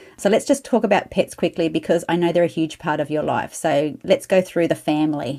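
A woman's dark, mellow, fairly low voice, lively in intonation, fairly quick, with hardly any pauses. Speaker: podcast host. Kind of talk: casual interview chat.

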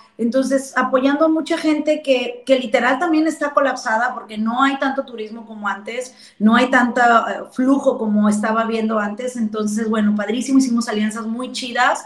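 A woman's high voice at a moderate pace, with fairly even intonation. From Mexico, rural. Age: 30s. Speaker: entrepreneur. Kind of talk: casual interview.

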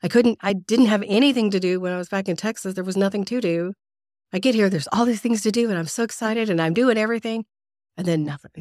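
A woman talks at a very fast pace and medium pitch with ordinary pitch variation. The sound is dry and close, with no echo. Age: 40s. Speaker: podcast host. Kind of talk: casual interview.

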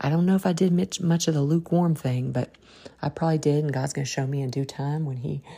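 A woman talks at a fast pace with a low pitch and a dark, mellow tone. Her voice has a slightly husky edge and vocal fry. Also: fairly even intonation.

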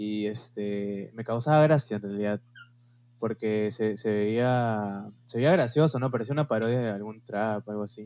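A man's dark, mellow, fairly low voice in a Peruvian accent, fairly slow with fairly even intonation. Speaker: podcast co-host. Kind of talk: casual chat.

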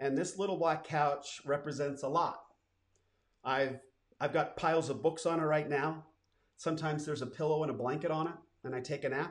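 Fairly quick delivery in a flat monotone, broken by long, frequent pauses. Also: man. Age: 50s. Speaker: entrepreneur and podcast host. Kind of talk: personal storytelling monologue. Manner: casual, with frequent fillers.

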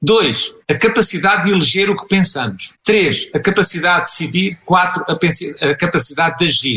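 Speaking at a moderate pace with hardly any pauses, a man with a European Portuguese accent has a high pitch and ordinary pitch variation. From Portugal. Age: 60s. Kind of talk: interview.

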